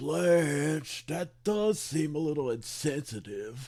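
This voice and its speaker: A man's put-on character voice, fairly high-pitched and very slow. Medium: comedy sketch. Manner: slow, simple, rambling.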